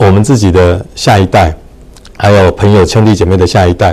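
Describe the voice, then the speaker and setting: At a fairly quick pace, a man talks in a somewhat breathy way. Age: 60s. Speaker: real estate association chairman. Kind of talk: casual chat. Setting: livestream.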